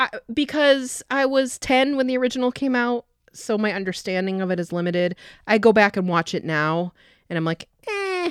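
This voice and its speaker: On a very clean recording with a silent background and a dry, close sound with no echo, a woman speaks with fairly high pitch and very wide pitch swings. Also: moderate pace. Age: 40s. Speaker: clinical sexologist and podcast host. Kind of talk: casual chat.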